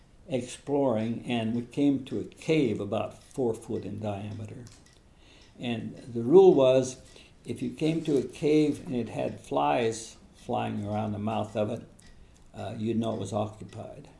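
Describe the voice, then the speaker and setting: A man speaks at a medium pitch with ordinary pitch variation, vocal fry, and a dark, mellow tone. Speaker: war veteran. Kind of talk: interview answer.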